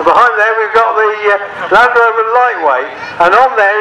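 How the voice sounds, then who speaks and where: With audible room echo and light background noise, a man speaks in a raised, projected voice at a moderate pace. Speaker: show ring commentator. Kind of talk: commentary. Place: open country.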